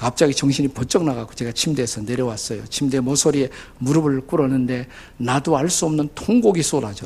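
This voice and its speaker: At a fairly quick pace, a man talks at a medium pitch, somewhat breathy, with ordinary pitch variation. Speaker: pastor. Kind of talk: sermon. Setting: church. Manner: animated storytelling.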